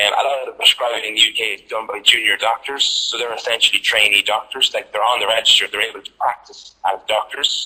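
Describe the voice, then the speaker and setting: A man with an Irish accent rushes along at a very fast pace with hardly any pauses and big swings in loudness. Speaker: clinical pharmacist. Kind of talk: lecture.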